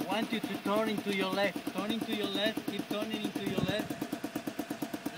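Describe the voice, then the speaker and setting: A man speaks at a fairly slow pace with ordinary pitch variation. Loud background noise is present. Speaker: paragliding instructor. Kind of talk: coaching commands. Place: open country.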